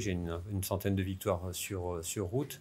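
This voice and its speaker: In a very deep, low pitch, a man speaks with fairly even intonation. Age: 60s. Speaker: sports federation president, former pro cyclist. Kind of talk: interview. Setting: equestrian centre, filmed podcast. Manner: halting, many filler hesitations.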